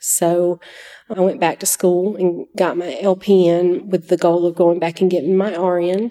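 A woman with a Southern US accent speaks at a fairly low pitch and a fairly slow pace, with monotone, flat intonation and very even loudness. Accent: Southern US (Georgia). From US South, Georgia (Oconee County). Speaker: nurse. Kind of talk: testimony.

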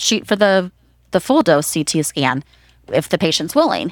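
Recorded very cleanly with a silent background, a woman in a plain, everyday voice speaks at medium pitch and a moderate pace, the sound dry and close with no echo. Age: 50s. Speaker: nurse practitioner. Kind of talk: interview.

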